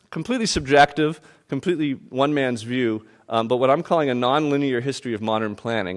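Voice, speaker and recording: A man at medium pitch and a very fast pace, over a quiet background. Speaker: urban planner and author giving a keynote. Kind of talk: keynote lecture.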